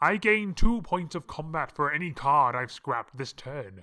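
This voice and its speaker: In a very clean recording with a silent background, a man does a put-on character voice with a fairly high pitch at a moderate pace. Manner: theatrical, gloating.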